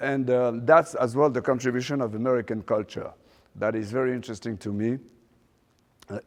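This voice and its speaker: Speaking with a French accent, a man keeps a medium pitch and fairly even intonation. His pace is moderate. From Morocco, raised in France. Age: 60s. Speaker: fashion designer. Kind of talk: guest lecture. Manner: halting, many fillers.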